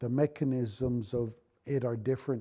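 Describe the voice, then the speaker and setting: With a Lakota accent, a man talks at a fairly slow pace in a medium-pitched, dark, mellow voice with fairly even intonation. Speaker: Lakota elder and culture keeper. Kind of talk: oral teaching talk. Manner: halting, with self-corrections.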